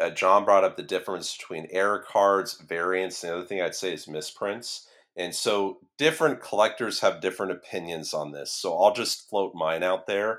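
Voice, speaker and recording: Speaking with an ordinary speaking voice, a man at a fairly low pitch keeps a moderate pace with hardly any pauses and ordinary pitch variation, in a very clean recording with a silent background. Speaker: collector. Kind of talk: casual chat.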